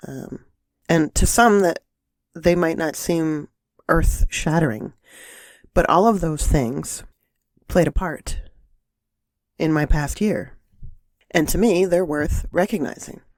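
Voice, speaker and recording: Very slow and broken by long, frequent pauses, a woman's fairly low voice shows ordinary pitch variation. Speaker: holistic life coach and podcast host. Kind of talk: casual podcast talk.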